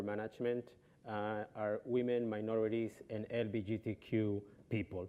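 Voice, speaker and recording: Speaking with a Colombian accent, a man talks at a medium pitch at a fairly slow pace. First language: Spanish. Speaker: travel company executive. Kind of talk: panel discussion. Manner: halting, many fillers.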